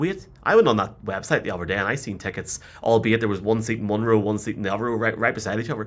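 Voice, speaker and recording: A man speaks at a very fast pace with a medium pitch. He has a Northern Irish accent. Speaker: podcast host. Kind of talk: casual chat.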